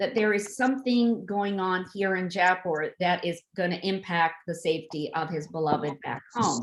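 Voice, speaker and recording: With a plain, everyday voice, a woman talks at a moderate pace and a medium pitch. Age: 60s. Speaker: author. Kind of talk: author talk on video event.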